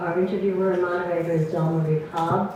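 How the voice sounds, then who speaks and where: A woman speaks fairly quickly at a fairly low pitch, her intonation monotone and flat. The recording has audible room echo and noticeable background noise. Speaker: president of a women's history organization. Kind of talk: event welcome speech, partly read from notes. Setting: live event hall with audience, microphone. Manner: loud.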